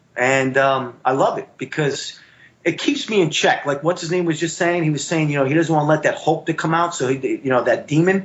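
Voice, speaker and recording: A man with a fairly high pitch, talking at a fairly quick pace. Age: middle-aged. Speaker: Marine veteran and jiu-jitsu competitor. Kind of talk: casual interview chat. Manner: animated.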